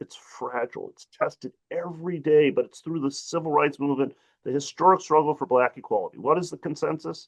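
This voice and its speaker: With a Midwestern American accent, a man talks at a fairly quick pace with hardly any pauses and big swings in loudness, in a dry, close sound with no echo. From US Midwest, Detroit. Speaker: civil rights advocate, panelist. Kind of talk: panel discussion. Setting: webinar video call. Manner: animated.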